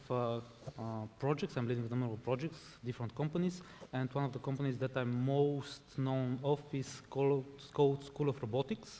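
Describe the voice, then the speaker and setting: A man's medium-pitched voice with a Bulgarian accent, fairly even intonation and a dark, mellow tone. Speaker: robotics education entrepreneur. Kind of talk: panel discussion.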